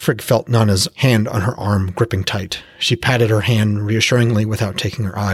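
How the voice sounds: Fairly even intonation in a natural reading voice.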